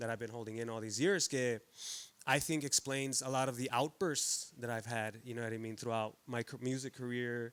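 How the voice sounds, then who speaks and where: With an ordinary speaking voice, a man talks at a fairly quick pace in a medium pitch and fairly even intonation. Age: 30s. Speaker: banda musician. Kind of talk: casual podcast chat. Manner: heavy Spanish-English code-switching.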